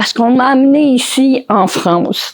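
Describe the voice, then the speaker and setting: A woman with a Quebec accent speaks at a very slow pace. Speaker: motivational speaker and author. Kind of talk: conference talk. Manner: spontaneous, improvised.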